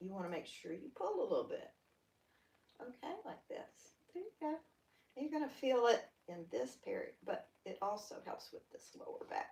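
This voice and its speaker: The speaker has a Southern US accent and a moderate pace with long, frequent pauses. Loudness swings widely. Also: woman. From US South. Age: 60s. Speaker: yoga instructor. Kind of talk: guided exercise class. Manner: animated.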